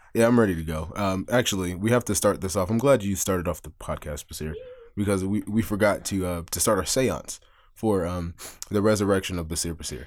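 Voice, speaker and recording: Using a normal speaking voice, a man delivers his words at a fairly quick pace, his pitch fairly low and varying in an ordinary way. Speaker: podcast co-host. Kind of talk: casual banter chat. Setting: studio. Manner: casual, jokey, profane.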